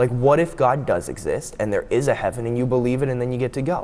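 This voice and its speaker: A man talks fairly quickly, his medium pitch varying in an ordinary way. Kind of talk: interview. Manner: fast; animated.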